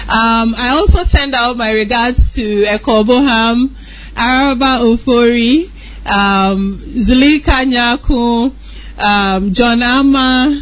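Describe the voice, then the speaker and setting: A woman with a high-pitched voice speaks very slowly, with ordinary pitch variation over noticeable background noise. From Ghana. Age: 30s. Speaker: entrepreneur. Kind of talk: radio interview.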